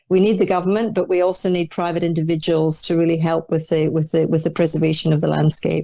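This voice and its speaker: Speaking very fast with hardly any pauses and very even loudness, a woman with a Scottish accent uses a fairly low, dark, mellow voice with monotone, flat intonation. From Scotland (Dundee, Orkney). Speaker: arts leader. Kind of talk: interview.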